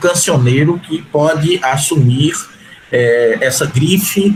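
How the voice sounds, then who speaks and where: A man speaks at a fairly high pitch with ordinary pitch variation. Noticeable background noise sits behind him. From Recife, Brazil. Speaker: historian. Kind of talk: panel discussion.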